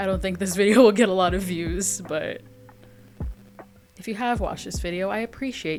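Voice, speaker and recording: A woman speaks at a moderate pace in a medium pitch with ordinary pitch variation, with music playing in the background. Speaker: gaming youtuber. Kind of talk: casual voiceover commentary. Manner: casual, chatty.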